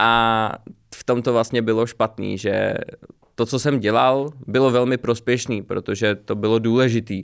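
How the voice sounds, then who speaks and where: The speech comes at a fairly slow pace with a monotone, flat intonation. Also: man, medium pitch for a man. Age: 20s. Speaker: small business owner. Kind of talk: casual interview.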